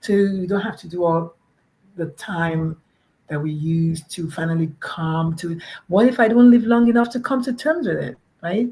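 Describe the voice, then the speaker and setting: Lively intonation carries a somewhat breathy voice with a dark, mellow tone. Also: woman, moderate pace. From Nigeria. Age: 50s. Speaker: pediatrician and parent advocate. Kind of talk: podcast interview. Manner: animated.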